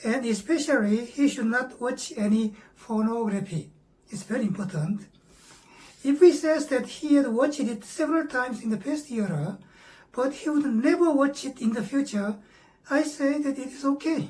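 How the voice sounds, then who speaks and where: Lively intonation and a moderate pace mark this speech in a Korean accent, with noticeable background noise behind it. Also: woman, high pitch for a woman. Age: 70s. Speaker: meditation teacher. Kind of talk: lecture. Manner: halting, frequent fillers.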